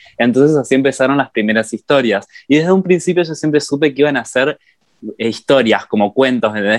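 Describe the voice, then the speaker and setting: Speaking with a Rioplatense accent, a man uses a medium pitch and ordinary pitch variation. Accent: Argentine Rioplatense Spanish. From Argentina, Entre Ríos. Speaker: novelist and book content creator. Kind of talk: interview.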